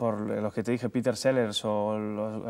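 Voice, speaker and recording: A man with fairly even intonation. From Cuba. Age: 30s. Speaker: comedian and TV presenter. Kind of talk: interview answer. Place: studio.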